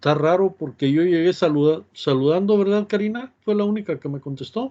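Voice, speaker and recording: With a northern Mexican accent, a man speaks in a high-pitched, dark, mellow tone. His intonation is lively and his pace moderate. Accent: northern Mexican Spanish (Tamaulipas). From northern Mexico. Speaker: university professor. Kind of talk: online class, casual aside.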